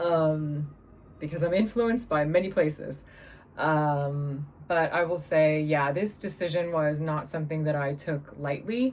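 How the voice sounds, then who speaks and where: A woman talks at a fairly slow pace with an American accent. Her pitch is very deep and low. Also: ordinary pitch variation. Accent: American, slightly shifting. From California. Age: 40s. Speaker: vlogger. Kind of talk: personal video diary. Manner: halting, many fillers.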